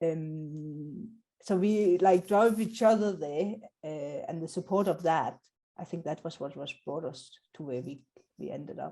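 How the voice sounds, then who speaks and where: A woman with a non-native accent speaks at a fairly slow pace and a fairly low pitch. Her tone is dark and mellow, with big swings in loudness. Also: ordinary pitch variation. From South Africa. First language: not English. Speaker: Scrum trainer. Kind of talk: interview.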